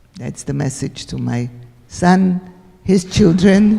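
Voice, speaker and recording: The speaker has a Central European accent. The delivery is very slow. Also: woman. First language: Hungarian. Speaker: Holocaust survivor speaker. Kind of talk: Q&A after talk.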